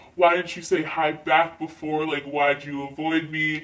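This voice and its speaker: Using a put-on character voice, a man speaks at a moderate pace with a fairly high pitch and monotone, flat intonation. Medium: solo performance. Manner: suave, joking.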